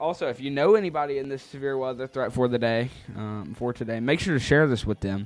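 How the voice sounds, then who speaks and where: His pitch varies in an ordinary way around a medium level for a man. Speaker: weather livestream host. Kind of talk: live weather coverage stream. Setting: livestream. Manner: loud; hesitant, many fillers.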